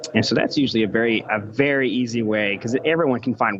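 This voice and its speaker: Noticeable background noise sits behind a man speaking at a very fast pace. His pitch is medium, with ordinary pitch variation. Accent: American. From United States. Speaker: electrical engineer and author. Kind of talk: podcast interview.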